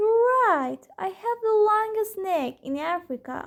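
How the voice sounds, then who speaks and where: A put-on character voice carries the delivery. Its pace is fairly slow. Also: female-sounding voice, extremely high pitch for a woman. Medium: read story.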